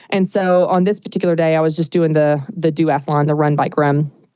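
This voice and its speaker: A woman speaks at a fairly quick pace in a fairly low voice. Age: 30s. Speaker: business coach. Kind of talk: podcast interview. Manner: animated.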